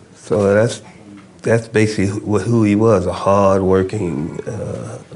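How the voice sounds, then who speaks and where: Audible room echo surrounds a man with a fairly low pitch who speaks at a fairly slow pace with ordinary pitch variation. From New York City (Jamaica, Queens). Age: 70s. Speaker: former political prisoner, activist. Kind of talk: interview.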